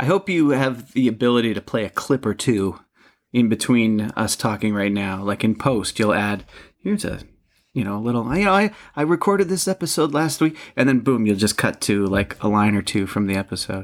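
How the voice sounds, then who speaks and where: A man's medium-pitched voice, fairly quick in pace and lively in intonation. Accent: upstate New York. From upstate New York. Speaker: podcast co-host. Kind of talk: casual chat. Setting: online recording platform.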